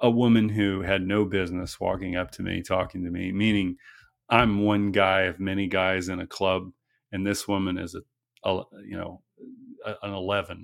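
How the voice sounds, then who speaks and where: With a very deep, low pitch, a man speaks at a moderate pace in a monotone, flat intonation. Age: 40s. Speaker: actor and filmmaker. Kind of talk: interview.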